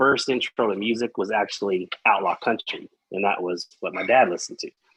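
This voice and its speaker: A slight Texas accent at a fairly quick pace, with ordinary pitch variation and a dry, close sound with no echo. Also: man. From Texas, Amarillo. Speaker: metal podcast guest. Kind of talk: casual chat. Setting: live-streamed podcast.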